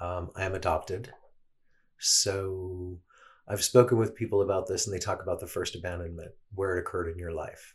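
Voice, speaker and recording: At a fairly quick pace, a man with a very deep, low pitch speaks in a somewhat breathy voice with fairly even intonation. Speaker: guest sharing personal experience. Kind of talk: casual interview chat. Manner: verbose, talkative.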